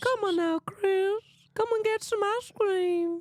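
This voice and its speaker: In a put-on character voice, someone speaks at an extremely high pitch and a fairly slow pace. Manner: creepy.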